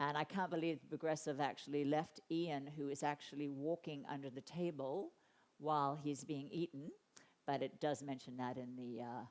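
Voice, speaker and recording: The speaker has a slight Australian accent and talks at a moderate pace. Intonation stays fairly even while loudness swings widely. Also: woman, very deep, low pitch for a woman. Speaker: animal advocacy speaker and author. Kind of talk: conference talk. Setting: conference stage with audience.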